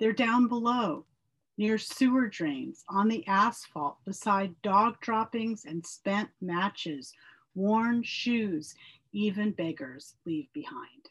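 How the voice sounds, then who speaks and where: A woman's somewhat breathy, medium-pitched voice at a very slow pace, lively intonation, over a quiet background. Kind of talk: poet reading aloud.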